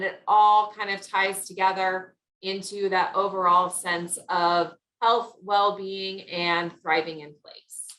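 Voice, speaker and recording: A woman's bright, sharp voice at a medium pitch and a fairly slow pace. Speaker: wellness speaker. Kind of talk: presentation.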